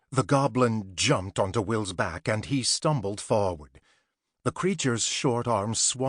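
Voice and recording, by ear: Against a quiet background, the text is read aloud in a natural voice, with ordinary pitch variation.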